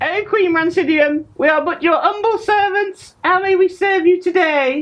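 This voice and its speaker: A squeaky, put-on character voice sits at an extremely high pitch. It moves at a moderate pace. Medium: stage play. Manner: eager, fawning.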